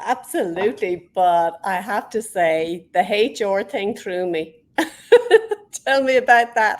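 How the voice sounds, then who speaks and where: The speech moves very slowly, and its pitch varies in an ordinary way. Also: woman, medium pitch for a woman. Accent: Irish. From Ireland. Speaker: interviewer, podcast host.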